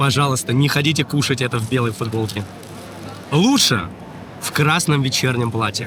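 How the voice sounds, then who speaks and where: Noticeable background noise is present throughout. A man talks, leaving long, frequent pauses. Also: medium pitch for a man, ordinary pitch variation, moderate pace. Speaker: travel video blogger. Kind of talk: casual travel vlog.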